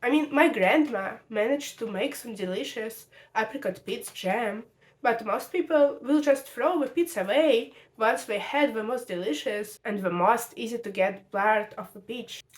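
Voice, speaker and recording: With a Russian accent, a woman speaks at a moderate pace, her fairly high pitch moving in lively intonation. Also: big swings in loudness. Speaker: video essayist. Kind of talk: video essay.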